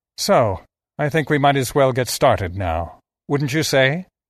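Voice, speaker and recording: Against a quiet background, a man puts on a character voice at a medium pitch. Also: moderate pace. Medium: read story. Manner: smug, taunting, cruelly playful.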